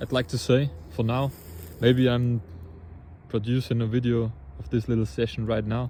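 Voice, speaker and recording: The voice moves at a moderate pace and is somewhat breathy. Its tone is dark and mellow. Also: man. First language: not English. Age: 20s. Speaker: angler and video creator. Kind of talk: casual outdoor vlog. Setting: outdoors by a river. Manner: halting, with repeated words.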